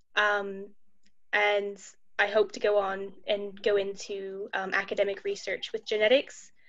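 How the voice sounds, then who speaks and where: A woman speaks with an American accent at a moderate pace. Her intonation is monotone and flat. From Ohio, US. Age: 20s. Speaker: university student, patient. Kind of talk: panel discussion.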